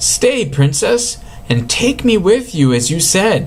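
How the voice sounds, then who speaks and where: Putting on a character voice, a man speaks in a high pitch at a fairly slow pace with very wide pitch swings, over clear background noise. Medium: read story.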